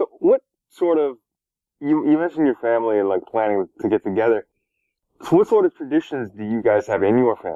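A man speaks at a fairly quick pace in a Canadian accent, at medium pitch, with an ordinary speaking voice. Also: lively intonation. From Toronto, Canada. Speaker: podcast host interviewer. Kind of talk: casual interview chat.

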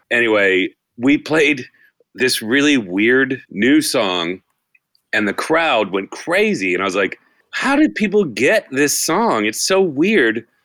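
Very slowly, a man speaks in a bright, sharp tone with very wide pitch swings. The recording is very clean, with a silent background. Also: medium pitch for a man. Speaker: band member. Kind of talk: casual chat, storytelling.

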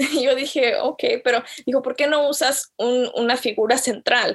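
A woman at a fairly slow pace. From Chicago, USA (born in Jalisco, Mexico). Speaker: graphic designer and theology student. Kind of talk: interview.

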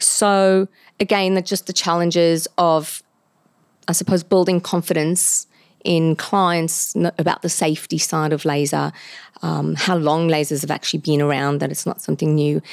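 Recorded very cleanly against a silent background, dry and close with no echo, a woman with a normal speaking voice talks at a moderate pace, her fairly low pitch kept in fairly even intonation. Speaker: laser clinic owner. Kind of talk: podcast interview. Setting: studio.

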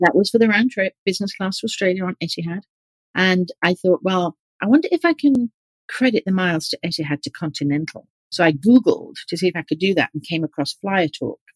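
Heard in a dry, close sound with no echo, a woman with a British accent talks at a fairly quick pace in a medium, somewhat breathy voice with lively intonation. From England, East Yorkshire. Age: 50s. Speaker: organizational psychologist, group moderator. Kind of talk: interview.

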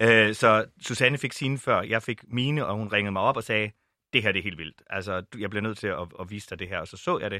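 In a very clean recording with a silent background, a man with a normal speaking voice talks at a fairly quick pace and fairly low pitch, showing ordinary pitch variation and big swings in loudness. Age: 40s. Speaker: Pride organiser and LGBT+ activist. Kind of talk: podcast panel discussion. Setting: studio.

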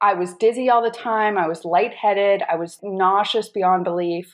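A woman with an ordinary speaking voice and an American accent talks at a fairly slow pace, using a medium pitch and fairly even intonation. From North Carolina. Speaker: integrative health coach, chronic illness patient. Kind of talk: interview, personal testimony.

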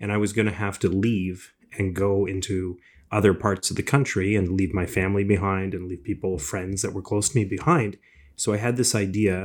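An unremarkable speaking voice belongs to a man with a Canadian accent. His pitch is fairly low, his pace moderate, and the recording very clean with a silent background. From Canada, Ontario (Scarborough, Toronto). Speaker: entrepreneur, business school director. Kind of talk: interview.

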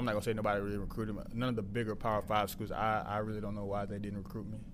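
A man with a slight Southern US accent at a very fast pace. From Mississippi, US South. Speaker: football player, wide receiver. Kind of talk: casual interview.

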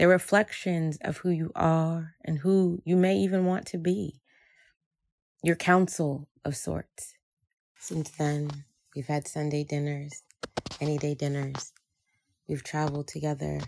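A woman with a very deep, low voice speaks in an American accent at a fairly slow pace. Her pitch varies in an ordinary way, and long, frequent pauses break up her speech. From New Jersey (Jersey City), Haitian American family. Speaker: storyteller sharing a personal story. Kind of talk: personal storytelling.

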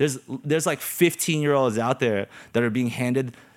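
Medium-pitched male voice with ordinary pitch variation over noticeable background noise. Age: 30s. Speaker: dance crew co-founder. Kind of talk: casual chat.

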